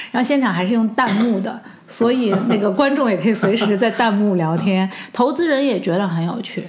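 Room echo and noticeable background noise surround a woman. She talks at a fairly quick pace with a fairly high pitch and ordinary pitch variation. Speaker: regional general manager of a ride-hailing company. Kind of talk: interview. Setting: office.

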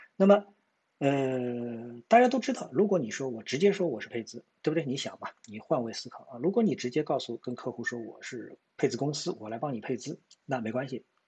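Somewhat breathy, a man speaks at a fairly quick pace in a medium pitch, with lively intonation and big swings in loudness. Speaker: stock market commentator. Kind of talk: market analysis monologue. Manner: hesitant with many fillers.

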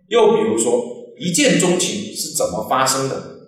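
A man at a very slow pace, with audible room echo. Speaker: psychology educator. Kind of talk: lecture. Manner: frequent filler particles.

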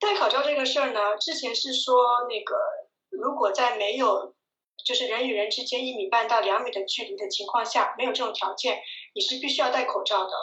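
Speaking at a fairly quick pace, a woman uses a high pitch and lively intonation, with audible room echo around her. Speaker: video blogger living abroad. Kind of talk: casual interview chat.

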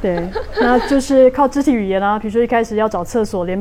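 Over noticeable background noise, a woman with a Taiwanese accent talks at a very fast pace, her fairly high pitch showing ordinary variation. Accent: Taiwanese Mandarin. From Taipei, Taiwan. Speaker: hypnotist and guest. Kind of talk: casual interview chat.

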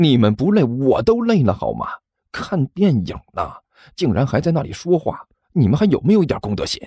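A put-on character voice with a dark, mellow tone and a slightly husky edge moves at a fairly quick pace through very wide pitch swings. The recording is very clean, with a silent background. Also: man, medium pitch for a man.

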